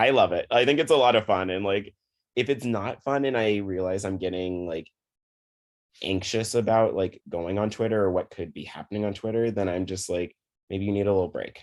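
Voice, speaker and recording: Energetic in tone, a man speaks at a fairly quick pace with ordinary pitch variation. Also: fairly low pitch for a man, quiet background. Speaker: psychiatrist. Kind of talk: interview. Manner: calm, relaxing.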